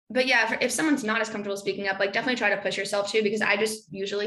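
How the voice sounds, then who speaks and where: A woman at a medium pitch, talking at a very fast pace over noticeable background noise. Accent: American. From New York City, then San Francisco. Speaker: tech marketing manager. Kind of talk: career seminar interview. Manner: casual, many fillers.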